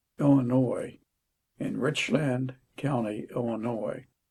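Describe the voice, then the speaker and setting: With an American accent, a man speaks at a very slow pace and medium pitch, keeping his intonation fairly even. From Maryland (Havre de Grace). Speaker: lawyer. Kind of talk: interview.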